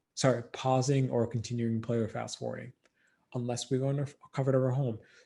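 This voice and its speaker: Somewhat breathy and dark, mellow in tone, a man speaks at medium pitch with monotone, flat intonation. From Democratic Republic of Congo. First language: not English. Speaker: filmmaker, dancer and educator. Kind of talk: podcast interview answer.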